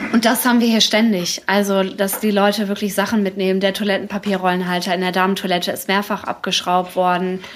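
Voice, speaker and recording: Speaking at a very fast pace with hardly any pauses, a woman keeps a medium pitch. Her intonation is monotone and flat. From Dortmund, Ruhr area, Germany. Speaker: café owner, former designer. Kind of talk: live podcast interview. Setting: live event in her café with audience.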